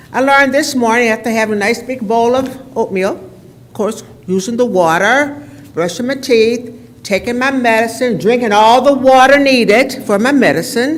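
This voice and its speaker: The speech moves at a moderate pace with ordinary pitch variation. Audible room echo and noticeable background noise are present. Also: woman, high pitch for a woman. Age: 80s+. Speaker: resident giving public comment. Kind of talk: public comment at council meeting. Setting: council chamber podium.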